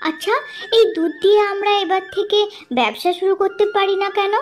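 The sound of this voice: Using a cartoonish character voice, a woman speaks at an extremely high pitch and a moderate pace, with fairly even intonation, very even loudness and clear background noise.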